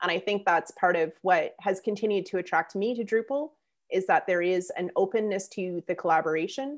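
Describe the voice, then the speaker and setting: A woman with an ordinary speaking voice talks at a fairly quick pace, her medium pitch showing ordinary variation. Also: quiet background. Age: 40s. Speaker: open source community figure, author. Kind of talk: casual interview.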